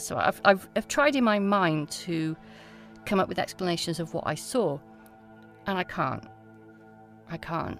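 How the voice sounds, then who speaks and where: With music in the background, a woman speaks at a moderate pace using lively intonation. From Wales. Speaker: folklore researcher. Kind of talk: interview answer.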